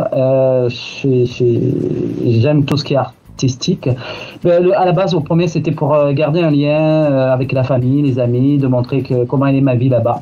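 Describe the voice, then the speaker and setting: A man's fairly high voice, fairly slow, with fairly even intonation. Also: very even loudness. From southern France, Marseille. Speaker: YouTuber, expatriate. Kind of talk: radio interview.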